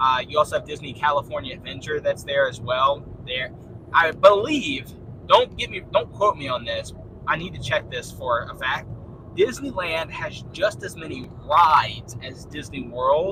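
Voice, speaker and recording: Against noticeable background noise, a man speaks in an animated tone at a moderate pace, with big swings in loudness. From Louisiana. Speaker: livestreamer. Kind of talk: casual live chat reading viewer comments.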